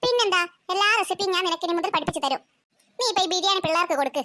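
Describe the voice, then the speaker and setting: In a cartoonish character voice, a woman squeaks at an extremely high pitch and a very fast pace. Her loudness stays very even, with ordinary pitch variation. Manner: jovial, familiar.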